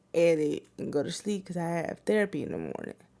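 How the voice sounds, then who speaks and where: The speaker is a woman. Her recording is very clean, and the background is silent. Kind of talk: casual rant to camera. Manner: repetitive, says things twice.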